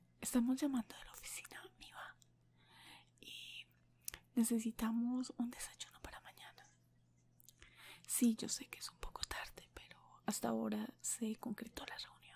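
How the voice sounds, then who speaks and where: A whispering voice moves at a fairly slow pace with long, frequent pauses. Its loudness swings widely. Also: woman. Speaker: ASMR creator playing a receptionist. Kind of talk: role-play phone talk, soft-spoken. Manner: soft, low ASMR speaking voice. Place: home room. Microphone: earbuds.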